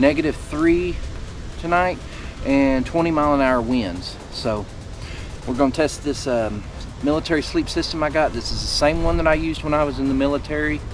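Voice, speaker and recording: Music plays in the background of this dry sound with no echo. The speech moves at a moderate pace. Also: man. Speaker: outdoor vlogger. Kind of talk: casual vlog chat. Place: open country.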